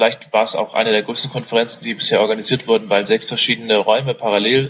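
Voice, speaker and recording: His delivery comes at a fairly quick clip, pitched in the medium range for a man. The intonation stays flat and monotone. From Saxony, Germany. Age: 20s. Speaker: political party candidate. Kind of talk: interview. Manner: hesitant, many fillers.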